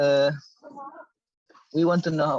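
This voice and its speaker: This man has an Indonesian accent. The sound is dry and close, with no echo. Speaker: audience member asking questions. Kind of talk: Q&A discussion. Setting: online meeting. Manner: halting.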